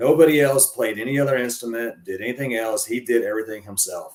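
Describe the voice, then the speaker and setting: A man talks at a very fast pace. He speaks in a Southern US accent. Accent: Southern twang. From Arkansas. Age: 40s. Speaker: professional wrestler. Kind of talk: interview. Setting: live stream podcast. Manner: casual, halting with fillers.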